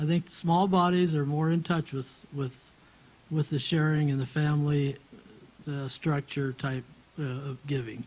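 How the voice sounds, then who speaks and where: A man with a fairly high pitch and a somewhat breathy voice speaks at a fairly slow pace with fairly even intonation. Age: 70s. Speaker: church member. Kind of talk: group discussion. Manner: halting.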